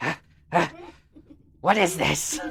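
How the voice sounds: Someone puts on a squeaky character voice at a middle pitch.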